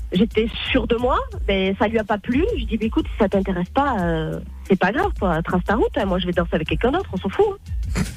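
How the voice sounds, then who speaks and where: A woman speaks very fast with a southwestern French accent. Noticeable background noise runs underneath. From southwest France (Tarbes). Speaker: caller. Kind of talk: casual chat.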